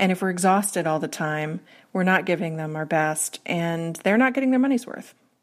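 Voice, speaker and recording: A woman's fairly low voice with an American accent, an ordinary speaking voice, lively intonation and a fairly quick pace, on a very clean recording with a silent background. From US Northeast. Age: 40s. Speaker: workplace strategist and author. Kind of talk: interview.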